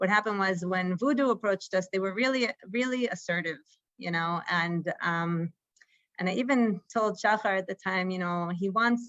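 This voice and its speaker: A woman talks in a normal speaking voice with an American accent. Her medium pitch shows ordinary variation at a moderate pace. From United States. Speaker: startup co-founder and executive. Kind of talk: interview at a conference fireside chat.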